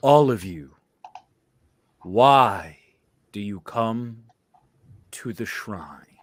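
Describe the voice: In a booming, put-on character voice of medium pitch, a man speaks very slowly with long, frequent pauses, big swings in loudness and ordinary pitch variation.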